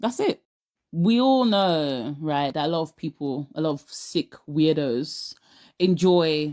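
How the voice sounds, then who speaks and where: A woman with a South London accent speaks at a very slow pace in a very deep, low pitch with a dark, mellow tone and lively intonation. The recording is very clean with a silent background and a dry, close sound with no echo. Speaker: lifestyle vlogger. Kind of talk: casual vlog monologue. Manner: animated, emphatic.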